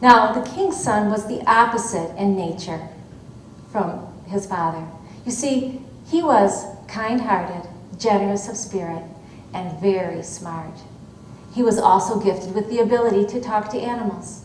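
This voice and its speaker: Over noticeable background noise, a woman with an American accent speaks at medium pitch and a moderate pace. She uses ordinary pitch variation and long, frequent pauses. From Michigan. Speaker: storyteller. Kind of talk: live folktale telling to an audience. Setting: auditorium stage.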